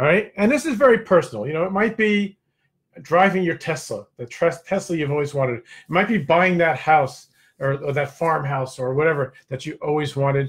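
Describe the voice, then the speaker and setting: In a plain, everyday voice, a man talks at a fairly quick pace. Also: fairly high pitch for a man, lively intonation, very clean recording, silent background. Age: 60s. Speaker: network marketing coach and show host. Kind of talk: live stream motivational talk. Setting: live stream with chat. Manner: casual, conversational with fillers.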